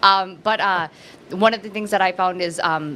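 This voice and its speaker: Noticeable background noise fills the recording. A woman is talking through it. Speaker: person in addiction recovery. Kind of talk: casual chat. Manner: fast.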